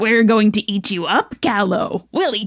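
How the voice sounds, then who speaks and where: A female-sounding put-on character voice pitched fairly high comes through. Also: moderate pace. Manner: menacing, gloating.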